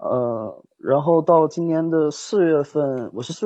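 A man's voice has a fairly high pitch and ordinary pitch variation. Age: 20s. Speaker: caller. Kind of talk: phone-in confession. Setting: voice call. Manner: halting. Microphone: phone mic.

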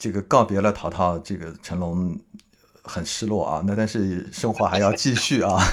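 This man has an ordinary speaking voice with a fairly low pitch. He talks at a moderate pace with ordinary pitch variation. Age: middle-aged. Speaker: podcast host. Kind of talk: casual interview.

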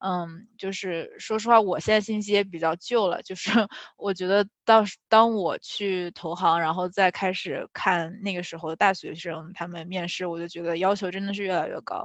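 A woman speaks in a normal speaking voice at a medium pitch, with fairly even intonation and a moderate pace. Her loudness swings widely. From China. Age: 20s. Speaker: finance and tech product manager. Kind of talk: interview Q&A.

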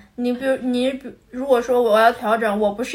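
A woman speaks at a fairly quick pace with a high pitch. Her pitch varies in an ordinary way. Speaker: podcast co-host. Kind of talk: casual chat.

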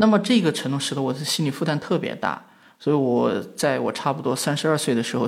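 Medium-pitched male voice with vocal fry and lively intonation. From western China, rural. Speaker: media company founder. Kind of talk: conversational interview. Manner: frequent hesitation fillers.

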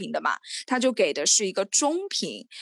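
Speaking at a fairly quick pace, a woman with a fairly high voice makes very wide swings in pitch. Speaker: podcast co-host. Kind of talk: casual chat. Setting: video call. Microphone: slightly muffled audio.

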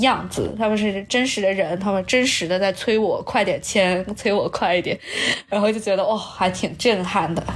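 A woman talks with very even loudness. Noticeable background noise sits behind her. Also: medium pitch for a woman, fairly even intonation, moderate pace. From Nanjing, China. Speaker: high school language teacher. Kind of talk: casual chat.

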